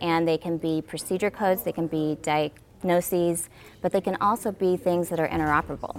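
With a plain, everyday voice, a woman speaks at a fairly quick pace in a fairly low pitch with fairly even intonation. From Arkansas, US South. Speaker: healthcare company executive. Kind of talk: casual interview.

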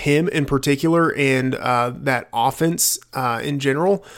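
A man with an American accent talks at a moderate pace in an ordinary speaking voice, pitched fairly high. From Texas, rural area. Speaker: fantasy football analyst. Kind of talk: casual chat.

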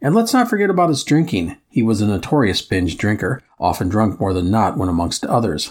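Speaking at a moderate pace with a Midwestern accent, a man swings very widely in pitch on a very clean recording with a silent background. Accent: Midwest American. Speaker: history podcast host. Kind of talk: scripted narration.

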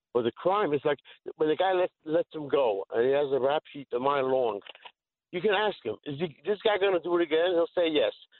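Here a man speaks with a New York accent at a fairly quick pace. His pitch is fairly high. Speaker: caller. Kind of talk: call-in radio. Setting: phone call.

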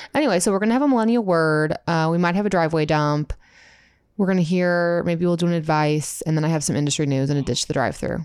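A woman speaks at a very fast pace, her pitch fairly low for a woman. Her pitch varies in an ordinary way and her loudness stays very even. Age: 20s. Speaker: podcast co-host. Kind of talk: casual chat. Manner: fast talker.

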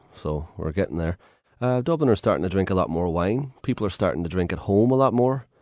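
A man with an Irish accent, fairly low in pitch, talking very fast with very wide pitch swings against a quiet background. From Ireland. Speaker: tour guide. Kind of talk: radio interview.

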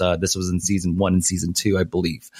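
The pace here is very fast. A man speaks on a very clean recording with a silent background. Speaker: esports analyst. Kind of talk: casual interview.

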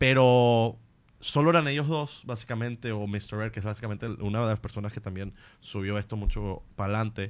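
On a very clean recording with a silent background, a man speaks at medium pitch and a fairly quick pace with ordinary pitch variation. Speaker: comedian. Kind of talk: casual chat.

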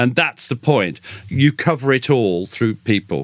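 A man speaks at a medium pitch with a British accent, captured in a very clean recording with a silent background. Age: 60s. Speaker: military historian and author. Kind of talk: interview conversation.

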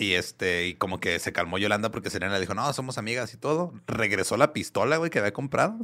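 Speaking at a very fast pace with hardly any pauses, a man uses a fairly low pitch, a bright, sharp tone and lively intonation. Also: very clean recording, silent background. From Ciudad Juárez, Mexico. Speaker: music podcast guest. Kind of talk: storytelling.

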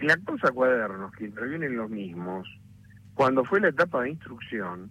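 With very wide pitch swings around a medium pitch, a man speaks at a moderate pace. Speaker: lawyer. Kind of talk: interview.

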